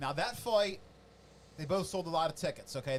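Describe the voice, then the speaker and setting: A loud man with an American accent speaks at a moderate pace. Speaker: combat sports commentator. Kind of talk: casual chat. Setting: studio. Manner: animated.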